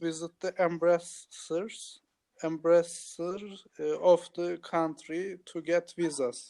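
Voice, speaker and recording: A man speaks at a very slow pace in a Turkish accent. His voice is high-pitched with a dark, mellow tone and a monotone, flat intonation. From Turkey. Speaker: English learner. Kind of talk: language practice answers. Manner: hesitant.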